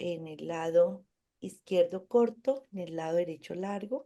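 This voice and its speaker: Her voice is fairly low for a woman, with a dark, mellow tone. The pitch varies in an ordinary way. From Colombia, Cundinamarca. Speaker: occupational therapist. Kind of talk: TV interview.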